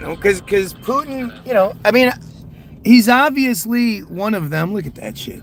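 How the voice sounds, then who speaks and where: Against noticeable background noise, a man with a high pitch and lively intonation speaks at a moderate pace. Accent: American. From United States. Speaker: conspiracy livestreamer. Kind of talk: casual livestream chat reading viewer comments. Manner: halting with frequent repetitions.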